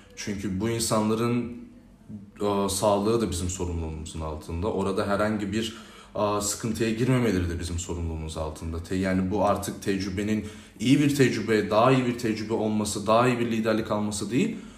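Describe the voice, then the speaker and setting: Through noticeable background noise and audible room echo, a man speaks in a fairly low voice with ordinary pitch variation. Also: fairly quick pace. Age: 20s. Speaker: youth organization president. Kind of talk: interview. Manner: hesitant with frequent filler sounds.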